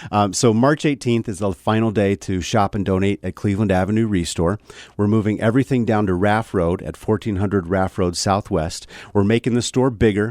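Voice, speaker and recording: In a dry, close sound with no echo, a man with a fairly low pitch talks at a fairly quick pace on a very clean recording with a silent background. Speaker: nonprofit thrift store representative. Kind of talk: radio interview. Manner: fast.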